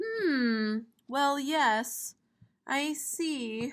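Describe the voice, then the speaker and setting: In a put-on character voice, a woman mumbles at a high pitch with lively intonation. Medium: read story. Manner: mumbling, fussy.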